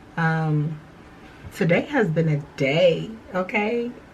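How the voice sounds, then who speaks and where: Noticeable background noise sits behind the speaker. She is a woman with a very deep, low pitch. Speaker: new graduate nurse vlogger. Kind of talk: casual vlog chat. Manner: hesitant with many fillers.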